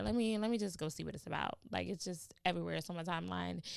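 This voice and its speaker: A woman speaks very fast in an animated tone, on a very clean recording with a silent background. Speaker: podcast host. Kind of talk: motivational podcast monologue.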